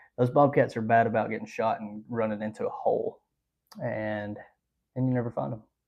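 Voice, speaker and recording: A man with an Alabama accent at a fairly quick pace, broken by long, frequent pauses. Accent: US Southern (Alabama). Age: 20s. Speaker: hunting and trapping livestreamer. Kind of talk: live stream chat reading viewer comments. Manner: casual, many filler ums.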